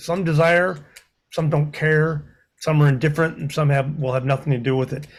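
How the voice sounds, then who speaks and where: Monotone, flat intonation in a somewhat breathy voice. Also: man, fairly high pitch for a man, moderate pace. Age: 60s. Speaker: community meeting attendee. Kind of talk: public comment at community meeting. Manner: halting.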